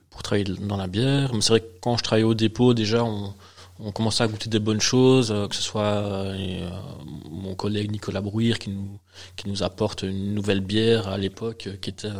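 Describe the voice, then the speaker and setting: This man talks at a moderate pace with a fairly low pitch. His intonation stays monotone and flat. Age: 40s. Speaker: beer sommelier and trainer. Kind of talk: interview and casual chat with tasting. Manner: hesitant, repeats words.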